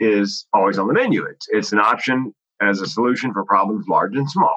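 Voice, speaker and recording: Recorded with a dry, close sound with no echo, a man talks at a moderate pace. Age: 60s. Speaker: comedian and mental health speaker. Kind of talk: casual interview conversation.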